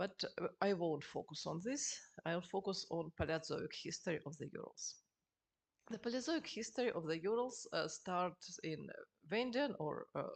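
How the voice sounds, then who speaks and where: A woman's medium-pitched voice with a Russian accent, moderately paced, with lively intonation. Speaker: geologist. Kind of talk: lecture. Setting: seminar with audience. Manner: halting.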